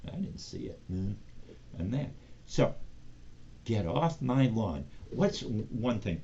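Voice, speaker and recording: A man speaks with vocal fry. He has an American accent. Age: 60s. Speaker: sports show host. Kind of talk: casual solo commentary show. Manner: conversational with frequent fillers.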